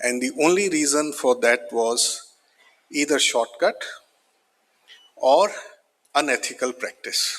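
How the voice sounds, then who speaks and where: Pausing long and often, a man talks at a very slow pace. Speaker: business leader. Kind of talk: conference speech. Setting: stage with audience.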